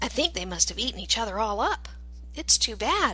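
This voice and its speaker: Delivered at a fairly quick pace, a put-on character voice comes through over clear background noise. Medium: read story.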